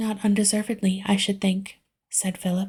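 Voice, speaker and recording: Soft-spoken and somewhat breathy, a woman talks at a medium pitch in a flat monotone with a dark, mellow tone, on a very clean recording with a silent background. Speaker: audiobook reader. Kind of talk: book reading.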